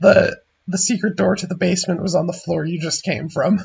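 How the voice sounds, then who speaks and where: A man's high-pitched, put-on character voice. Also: fairly quick pace. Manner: exasperated.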